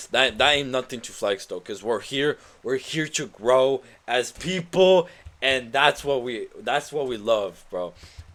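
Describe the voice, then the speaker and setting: A man with a non-native accent, medium in pitch and animated in tone, at a moderate pace, in a very clean recording with a silent background. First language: not English. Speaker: gaming streamer. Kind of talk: live stream commentary. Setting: live stream.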